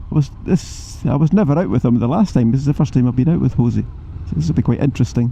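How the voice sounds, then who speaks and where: A man with a Scottish accent speaks very fast at a medium pitch, his pitch swinging very widely while his loudness stays very even, with noticeable background noise. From Scotland. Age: 70s. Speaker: motorcycle vlogger. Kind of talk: vlog narration while riding. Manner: animated.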